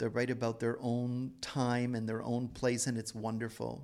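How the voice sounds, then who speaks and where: Over a very clean recording with a silent background, a man with an unremarkable speaking voice talks at a medium pitch and a fairly slow pace. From Toronto, Canada. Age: 50s. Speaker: novelist. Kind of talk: interview.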